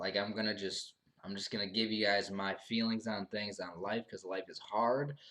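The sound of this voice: With fairly even intonation and a fairly bright tone, a man talks at a moderate pace and a fairly low pitch.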